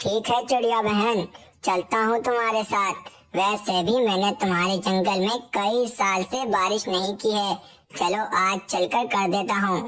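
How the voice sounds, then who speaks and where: At a fairly slow pace, a woman does a cartoonish character voice at medium pitch, with fairly even intonation and very even loudness. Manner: easygoing, obliging.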